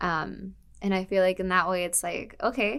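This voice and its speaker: A woman's fairly low voice with vocal fry. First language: Spanish. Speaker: university student. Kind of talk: interview testimony. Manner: casual, filler-heavy.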